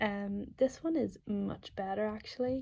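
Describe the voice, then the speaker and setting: A woman speaks in a dark, mellow tone, somewhat breathy, with fairly even intonation. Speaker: equestrian vlogger. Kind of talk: voiceover commentary. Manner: casual, hesitant with many ums.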